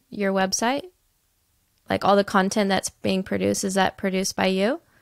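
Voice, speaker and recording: Against a quiet background, a woman with an American accent talks at a fairly quick pace in an animated, bubbly tone, the sound dry with no echo. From United States. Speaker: podcast host. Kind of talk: casual interview chat. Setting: video call. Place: home room.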